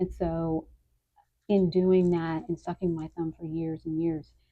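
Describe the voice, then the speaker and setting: A soft-spoken woman talks at a fairly slow pace in a fairly low pitch with monotone, flat intonation. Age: 50s. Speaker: lifestyle vlogger. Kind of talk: personal vlog monologue. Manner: hesitant, many fillers. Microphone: occasional bumps on the microphone, volume issues.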